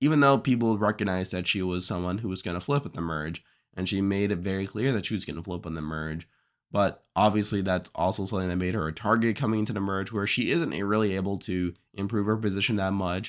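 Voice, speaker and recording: The recording is very clean and the background silent. A man talks at a very fast pace. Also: fairly low pitch for a man, ordinary pitch variation. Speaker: reality TV show commentator. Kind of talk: casual commentary to camera.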